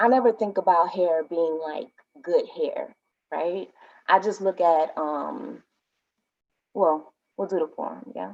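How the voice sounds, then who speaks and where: A woman with an American accent talks at a very slow pace. Her speech has long, frequent pauses. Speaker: poet. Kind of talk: casual talk introducing a poem.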